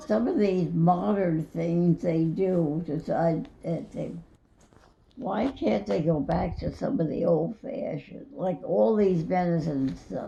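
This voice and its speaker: A woman's fairly low voice has a dark, mellow tone and vocal fry, swinging very widely in pitch at a very slow pace. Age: old. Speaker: grandmother being interviewed. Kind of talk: casual interview answers recalling the past.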